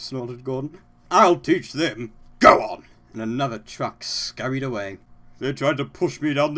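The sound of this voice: The pitch varies in an ordinary way. It comes from an unforced reading voice.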